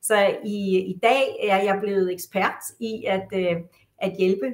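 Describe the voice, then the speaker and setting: A woman speaks at a medium pitch. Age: 60s. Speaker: psychotherapist. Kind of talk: interview. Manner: halting, many fillers.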